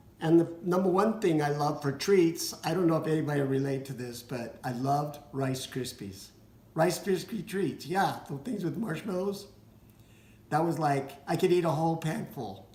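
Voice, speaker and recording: A man's fairly high voice at a moderate pace, lively in intonation, with audible room echo. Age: 60s. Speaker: vlogger with cystic fibrosis. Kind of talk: casual personal vlog. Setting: dining room at home. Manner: halting, with fillers.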